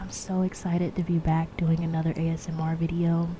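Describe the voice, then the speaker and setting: A soft-spoken woman with a fairly low pitch talks over noticeable background noise. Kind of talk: ASMR ramble, casual talk to camera.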